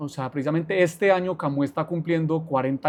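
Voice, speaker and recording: Pitched fairly high, a man talks at a very fast pace with fairly even intonation. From Colombia, Armenia, Quindío. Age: 40s. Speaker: business executive, lawyer. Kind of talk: podcast interview.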